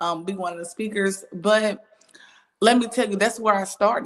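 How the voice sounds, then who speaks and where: Her speech moves at a moderate speed. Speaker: church elder and business coach hosting a talk show. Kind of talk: casual interview chat. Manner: loud; animated.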